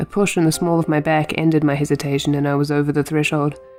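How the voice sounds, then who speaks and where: A woman with a very deep, low pitch and a New Zealand accent, with music in the background. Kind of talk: audiobook reading of an autobiography. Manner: amateur, unpolished.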